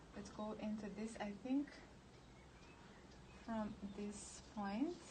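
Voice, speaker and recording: In a Serbo-Croatian accent, a woman with a fairly high pitch speaks at a very slow pace with ordinary pitch variation. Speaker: painter. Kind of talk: live stream chat while painting. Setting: outdoors in bright sun. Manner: halting, many fillers.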